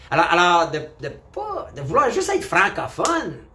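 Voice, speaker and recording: Noticeable background noise sits under the voice. A man talks with an animated tone. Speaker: vlogger. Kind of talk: opinion monologue.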